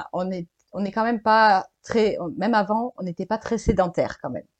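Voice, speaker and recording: A woman with a plain, everyday voice speaks at a moderate pace, fairly high in pitch with ordinary pitch variation, in a dry, close sound with no echo. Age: 20s. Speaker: digital nomad, freelance web writer. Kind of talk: casual interview.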